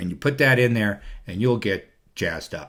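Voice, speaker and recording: Ordinary pitch variation runs through the man's speech. Very clean recording, silent background. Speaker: video blogger. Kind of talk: casual monologue. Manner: fast; halting, many fillers.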